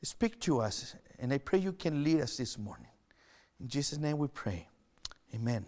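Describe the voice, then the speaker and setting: With a Chilean accent, a man speaks at a moderate pace in a fairly high voice with a dark, mellow tone, his pitch swinging very widely between long, frequent pauses. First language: Spanish. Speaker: pastor. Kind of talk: sermon. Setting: online church service.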